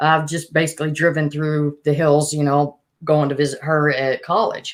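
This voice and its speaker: Speaking at a moderate pace in a monotone, flat way, a woman with a very deep, low voice talks with an Alabama accent. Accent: Southern US (Alabama). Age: 40s. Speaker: podcast host. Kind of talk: casual chat.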